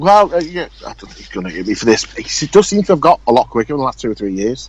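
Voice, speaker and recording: A man speaks very fast in an English accent, his fairly high pitch making very wide swings. Noticeable background noise runs under the recording. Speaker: RC car racing podcast host. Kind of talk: casual chat.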